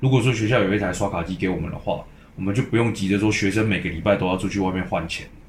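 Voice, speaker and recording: Amid audible room echo, a man speaks very fast at a fairly low pitch with fairly even intonation. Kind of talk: casual chat.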